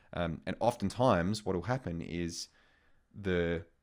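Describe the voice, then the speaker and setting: A man's very deep, low voice in an Australian accent, with ordinary pitch variation. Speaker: sex coach and sexologist. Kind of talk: intimate interview conversation. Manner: hesitant, many fillers.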